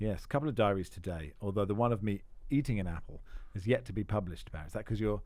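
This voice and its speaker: A man talks very fast at a fairly low pitch, which shifts in an ordinary way. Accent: Estuary. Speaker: football podcast host. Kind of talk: casual chat.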